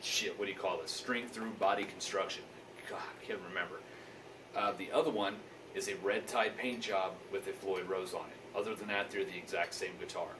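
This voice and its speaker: Noticeable background noise and audible room echo fill the recording. Through it, a man speaks at a moderate pace. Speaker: guitar reviewer and YouTuber. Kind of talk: casual video review.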